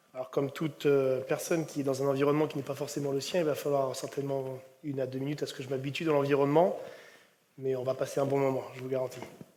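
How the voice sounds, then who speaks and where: In a room with audible echo, a man talks at a very fast pace with a fairly high pitch and monotone, flat intonation. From Brittany, France (Ille-et-Vilaine). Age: 30s. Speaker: rugby coach. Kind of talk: conference talk. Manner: hesitant, many fillers.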